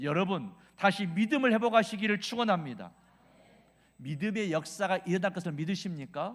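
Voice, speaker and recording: A man speaks with a Jeolla accent, his pitch high and his pace moderate. His intonation is lively and his tone animated. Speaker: revival preacher, pastor. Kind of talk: sermon.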